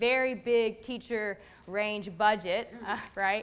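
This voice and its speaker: Her pitch is fairly high for a woman. The pitch varies in an ordinary way. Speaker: elementary school teacher. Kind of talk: personal testimony to live audience. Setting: library event with audience.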